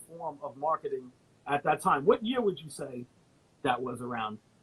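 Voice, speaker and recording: With a slight New York accent, a man talks at a fairly quick pace in a fairly high pitch. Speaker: podcast host. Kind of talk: interview.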